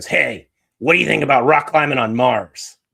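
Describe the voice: A man uses a put-on character voice at medium pitch, and it sounds nasal. His intonation is lively. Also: moderate pace.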